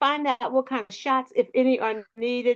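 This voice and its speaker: On a quiet background with dry, close, echo-free sound, a woman with an American accent speaks at a moderate pace in a high pitch with ordinary pitch variation. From US, South Philadelphia. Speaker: talk show co-host. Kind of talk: online panel discussion, announcements.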